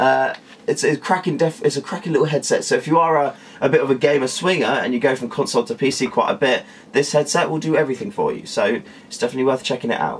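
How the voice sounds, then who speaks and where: Someone with a British accent talks at a very fast pace over noticeable background noise. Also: man. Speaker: tech reviewer. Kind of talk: product review. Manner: casual, filler-heavy.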